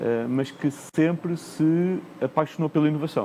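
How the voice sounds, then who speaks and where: A man talks with ordinary pitch variation. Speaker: corporate executive, panelist. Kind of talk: conference panel discussion. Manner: frequent hesitations and repetitions.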